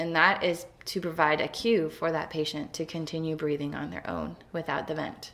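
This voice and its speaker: A woman talks at a moderate pace with vocal fry. Her pitch is very deep and low. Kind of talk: explanatory talk. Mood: calm, earnest. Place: home room. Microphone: webcam.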